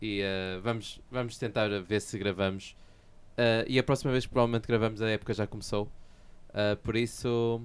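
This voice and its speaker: A man with a European Portuguese accent speaks at a moderate pace and medium pitch, with fairly even intonation. He takes long, frequent pauses, and the recording is very clean with a silent background. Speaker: podcast co-host. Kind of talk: casual chat.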